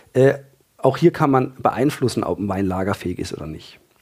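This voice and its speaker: At a fairly quick pace, the speaker uses an unremarkable speaking voice with lively intonation. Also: man. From Freiburg, southern Germany. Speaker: trained winemaker and wine enthusiast. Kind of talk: casual expert interview.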